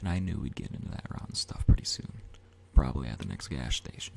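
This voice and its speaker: A man whispers at a very fast pace. There is noticeable background noise behind him. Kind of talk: ASMR audiobook reading.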